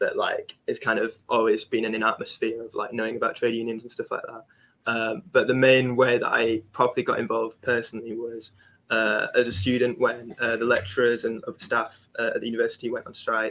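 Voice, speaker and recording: Loudness rises and falls sharply as a man with a South Yorkshire accent talks at a fairly quick pace. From South Yorkshire (Barnsley). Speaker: young trade union activist. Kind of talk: webinar panel discussion.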